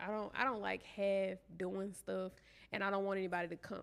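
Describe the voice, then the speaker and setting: The speaker has a Southern US accent. The intonation stays monotone and flat. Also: woman. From Shreveport, Louisiana. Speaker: entrepreneur, event planner. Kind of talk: interview answer.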